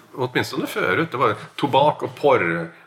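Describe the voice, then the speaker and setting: A man speaks over noticeable background noise. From Norway. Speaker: podcast co-host. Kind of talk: casual chat.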